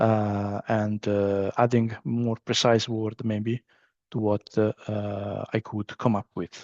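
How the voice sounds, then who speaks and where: A man speaks very slowly with an Italian accent, his medium-pitched voice dark and mellow, his intonation fairly even, and the sound dry and close with no echo against a quiet background. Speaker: business trainer. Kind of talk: training session. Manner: halting, many fillers.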